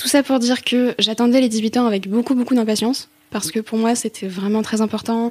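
Speaking fairly quickly, a woman uses a fairly high voice with fairly even intonation. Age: 20s. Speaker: student and novelist. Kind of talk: testimony. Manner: halting.

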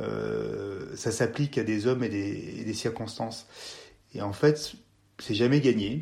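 Dark and mellow in tone, a man speaks at a medium pitch and a very slow pace with long, frequent pauses. The recording is very clean, with a silent background. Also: fairly even intonation. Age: 40s. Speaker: mountain guide and former gendarmerie officer. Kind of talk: interview. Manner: hesitant, with frequent repetitions and fillers.

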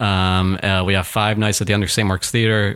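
Here is a normal speaking voice, a man's with an American accent. He talks at a fairly low pitch with fairly even intonation. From Massachusetts, Chicopee. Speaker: comedian. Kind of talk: casual chat.

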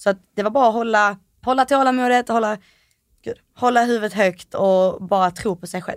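A woman with a normal speaking voice talks at a moderate pace and fairly high pitch, with ordinary pitch variation and big swings in loudness. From Malmö, Sweden. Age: 20s. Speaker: reality TV contestant. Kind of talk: interview. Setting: studio.

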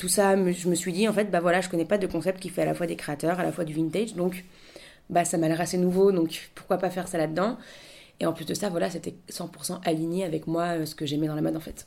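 Her voice fairly low in pitch, a woman speaks in a dark, mellow tone with monotone, flat intonation. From Paris. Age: 20s. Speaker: shop founder. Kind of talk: interview. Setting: radio studio. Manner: hesitant, many fillers.

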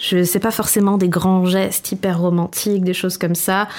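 A woman speaks in a plain, everyday voice. Her pitch is medium and her pace fairly slow. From Corsica. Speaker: podcast food columnist. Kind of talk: casual chat.

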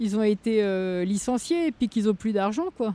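At a moderate pace, a woman speaks in a fairly high pitch with a dark, mellow tone and lively intonation. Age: 50s. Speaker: yellow vest protester. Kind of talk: interview.

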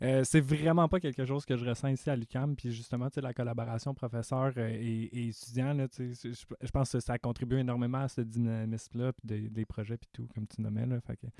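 Dry and close with no echo, a man with a Quebec accent speaks at a medium pitch and moderate pace, with a dark, mellow tone, fairly even intonation and hardly any pauses. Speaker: university student podcast co-host. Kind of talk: interview.

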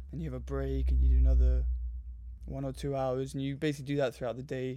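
A man's very fast speech in a southern English accent, on a very clean recording with a silent background. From southern England (Surrey, southwest London). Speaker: meditation and yoga practitioner, traveller. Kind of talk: casual interview chat.

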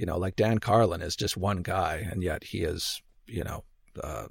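A somewhat breathy man with a Canadian accent at a moderate pace, ordinary pitch variation, on a very clean recording with a silent background. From Canada. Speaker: podcaster, former archaeologist. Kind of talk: casual interview. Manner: halting, many fillers and repetitions.

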